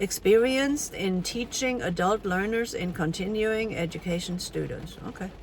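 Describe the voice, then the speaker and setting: Speaking at a moderate pace with a German accent and ordinary pitch variation, a woman is heard over noticeable background noise. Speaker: language teacher. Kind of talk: casual vlog commentary reading AI output. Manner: hesitant, many fillers.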